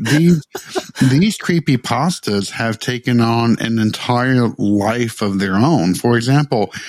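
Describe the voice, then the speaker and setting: Here a man speaks with a Tennessee accent at a very slow pace and a medium pitch. His intonation is lively, and the sound is dry and close with no echo. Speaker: podcast co-host.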